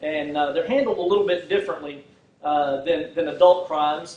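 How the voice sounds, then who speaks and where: A high-pitched man talks fairly quickly in a Texan accent. Room echo is audible and background noise is noticeable. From Texas, Fort Worth. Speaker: prosecutor running for district attorney. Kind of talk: campaign speech. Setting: political rally, no microphone. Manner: halting, many fillers.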